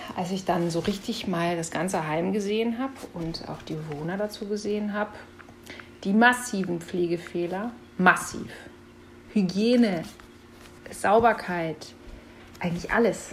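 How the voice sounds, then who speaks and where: Against noticeable background noise, a woman at medium pitch speaks at a fairly slow pace with ordinary pitch variation and long, frequent pauses. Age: 40s. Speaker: former health office employee, whistleblower. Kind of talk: interview.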